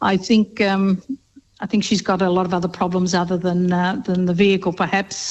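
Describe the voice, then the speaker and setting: A woman with an Australian accent, fairly quick, in a monotone, flat intonation. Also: medium pitch for a woman. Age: 70s. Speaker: radio caller. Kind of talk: call-in question.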